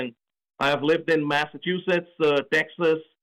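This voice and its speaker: A man with a slight Indian accent speaks at a fairly high pitch and moderate pace. His tone is bright and sharp. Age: 40s. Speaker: political candidate. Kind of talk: radio interview. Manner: repetitive, emphatic.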